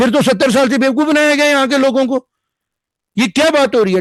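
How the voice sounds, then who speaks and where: The man's pitch is extremely high. Behind him the background is quiet. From Jammu. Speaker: panel guest on political debate. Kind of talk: TV news panel debate. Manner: animated, emphatic.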